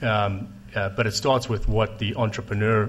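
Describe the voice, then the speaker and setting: In a South African accent, a man speaks in a monotone, flat intonation with a fairly low pitch and a somewhat breathy quality. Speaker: telecom investor. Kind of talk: panel discussion. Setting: stage with audience.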